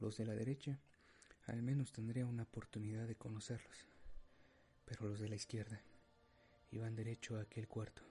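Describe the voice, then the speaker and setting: A man speaks in a solemn tone with monotone, flat intonation and very even loudness. Long, frequent pauses break his speech as music plays in the background. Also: medium pitch for a man, moderate pace. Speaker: narrator. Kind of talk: dramatic first-person storytelling narration. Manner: solemn, grave, emotional; measured, suspenseful pacing.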